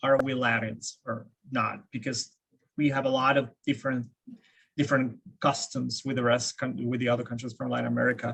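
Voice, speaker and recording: A medium-pitched male voice with vocal fry, flat monotone delivery and a fairly quick pace. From Argentina, Buenos Aires. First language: Spanish. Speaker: game industry employee, panelist. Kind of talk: panel discussion.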